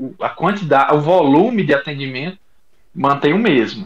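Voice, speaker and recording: A man speaks at a moderate pace. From Rio Grande do Norte, Brazil. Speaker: doctor, gynecologist and obstetrician. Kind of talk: casual chat.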